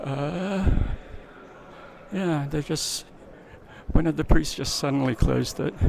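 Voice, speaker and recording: Noticeable background noise runs under a man's fairly high-pitched voice with lively intonation. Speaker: travel vlogger. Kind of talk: travel vlog narration. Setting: inside a cathedral during mass. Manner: soft-spoken; hesitant, many fillers.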